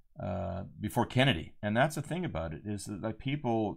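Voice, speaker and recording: The recording is very clean, and the background is silent. A man talks at a fairly quick pace. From United States. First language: Spanish. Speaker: podcast host, author and adventurer. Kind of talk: solo commentary monologue. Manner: casual, with frequent fillers and restarts.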